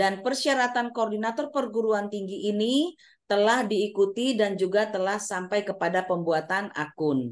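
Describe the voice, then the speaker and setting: A woman of medium pitch speaks at a moderate pace with lively intonation and hardly any pauses. The background is quiet. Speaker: university administrator. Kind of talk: presentation. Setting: video call. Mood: polite, formal. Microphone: video call.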